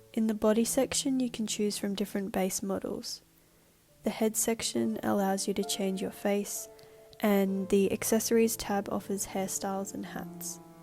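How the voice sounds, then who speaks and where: Music plays in the background. A woman talks at a medium pitch. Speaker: university student. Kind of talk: game prototype walkthrough narration.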